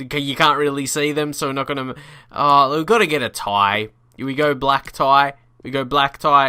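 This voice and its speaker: With an Australian accent, a man speaks at a moderate pace in a fairly high pitch, his tone bright and sharp, on a very clean recording with a silent background. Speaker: gaming YouTuber. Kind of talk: gameplay commentary. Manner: animated.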